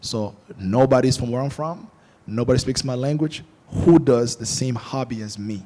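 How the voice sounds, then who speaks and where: A man speaks at a medium pitch and a moderate pace, with ordinary pitch variation. His tone is dark and mellow, and his loudness swings widely. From Angola. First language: Portuguese. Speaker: film director. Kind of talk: panel discussion. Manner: animated.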